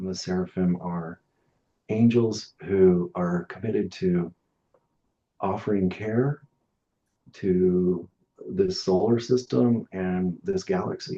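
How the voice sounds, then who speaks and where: Speaking very slowly with long, frequent pauses, a man with a fairly low pitch talks in an American accent. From western United States. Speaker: massage therapist and sound healer. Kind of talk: interview. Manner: even, level tone.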